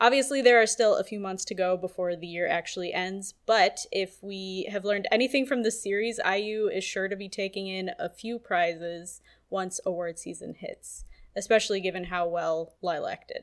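A woman with an ordinary speaking voice, medium pitch, ordinary pitch variation and a moderate pace. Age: 20s. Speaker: podcast co-host and researcher. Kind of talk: casual chat.

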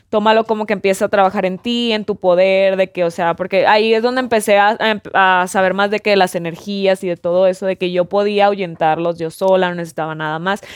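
A woman of medium pitch talks fairly quickly in a plain, everyday voice, with fairly even intonation and hardly any pauses. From Mexico, Mazatlán (Sinaloa). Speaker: content creator. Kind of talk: casual chat.

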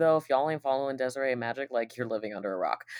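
Ordinary pitch variation from a woman with a very deep, low voice. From Puerto Rico. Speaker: drag king and go-go dancer. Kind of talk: casual chat.

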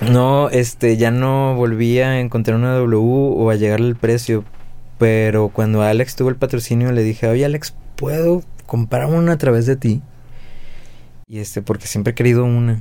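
A man with a Mexican accent has a dark, mellow tone at a medium pitch. He talks at a moderate pace with fairly even intonation. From Mexico, Guadalajara. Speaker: drummer. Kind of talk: casual chat.

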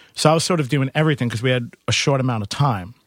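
A man with a New York accent speaks very fast at a medium pitch. The recording is very clean, with a silent background. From Queens, New York. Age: 30s. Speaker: musician and bar owner. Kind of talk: casual interview.

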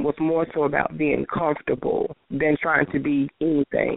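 A woman talks with a Southern US accent. Her pitch is very deep and low, and her pace fairly slow. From Tennessee. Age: 40s. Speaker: transgender performer. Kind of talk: interview.

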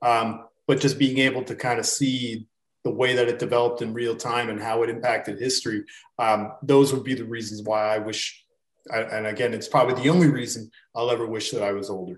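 A man with a plain, everyday voice talks at a fairly quick pace, with a medium pitch and fairly even intonation. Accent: Canadian. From Canada. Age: 30s. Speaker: sports betting handicapper. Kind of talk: casual chat.

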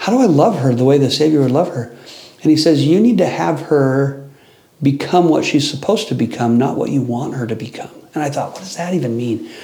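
Lively intonation marks a man's fairly high voice, heard with noticeable background noise and audible room echo. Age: 30s. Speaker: religion institute teacher. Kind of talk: casual chat.

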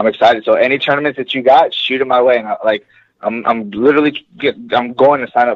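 A man's medium-pitched voice with an American accent, at a very fast pace. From Los Angeles, US. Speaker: MMA fighter. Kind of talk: interview. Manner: halting.

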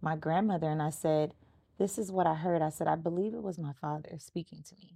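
In an ordinary speaking voice, a woman with an American accent and a fairly low pitch talks with fairly even intonation against a quiet background. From Los Angeles, US. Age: 30s. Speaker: podcast host. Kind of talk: casual interview chat.

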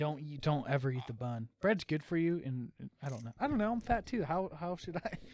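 With lively intonation, a man speaks at a fairly quick pace in a fairly high pitch. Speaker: podcast co-host. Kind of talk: casual chat. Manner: halting.

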